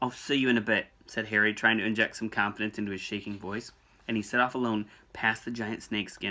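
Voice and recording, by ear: The intonation stays fairly even as the speaker reads aloud in a natural voice.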